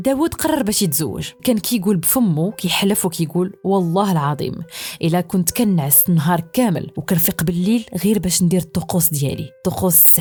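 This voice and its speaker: This woman speaks with a Moroccan accent at a moderate pace, her fairly low pitch showing ordinary variation. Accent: Moroccan Arabic (Darija). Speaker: storyteller. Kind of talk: horror story narration.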